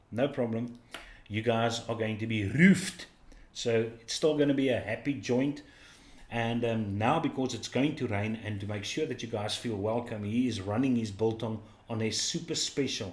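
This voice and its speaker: Speaking in a South African accent, a man with a medium-pitched, somewhat breathy voice keeps a moderate pace and ordinary pitch variation. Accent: South African (Afrikaans) English. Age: 50s. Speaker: livestream host. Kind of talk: casual chat.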